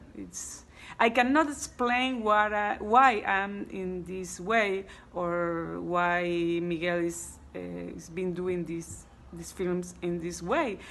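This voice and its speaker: Speaking very slowly in a fairly low voice with ordinary pitch variation, a woman swings widely in loudness while the room echoes audibly. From Cuba. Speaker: actress. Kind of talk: interview. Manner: halting.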